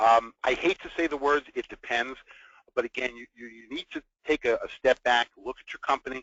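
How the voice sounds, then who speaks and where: Speaking at a fairly quick pace, a man talks in a New York accent. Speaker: business continuity consultant. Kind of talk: webinar presentation.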